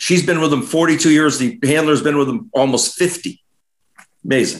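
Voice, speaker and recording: This man has an animated tone and a fairly high pitch, speaking at a moderate pace with ordinary pitch variation in an American accent. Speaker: advertising agency CEO. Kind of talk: interview.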